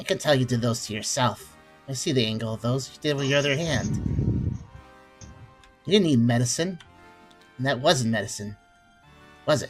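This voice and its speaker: Using a gruff, put-on character voice at a medium pitch, a man speaks at a moderate pace with long, frequent pauses and ordinary pitch variation while faint music plays in the background. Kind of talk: voice acting. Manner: tough, gruff.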